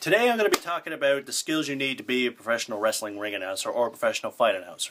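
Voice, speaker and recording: Very fast speech from a man, noticeable background noise behind it. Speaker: pro wrestling ring announcer. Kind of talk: casual talk to camera, tutorial.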